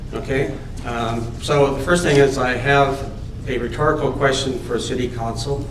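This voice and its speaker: Over noticeable background noise and audible room echo, a man talks at a moderate pace in a medium pitch with monotone, flat intonation. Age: 70s. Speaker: resident speaking at council meeting. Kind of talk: public delegation speech. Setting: council chamber with PA microphone. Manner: halting.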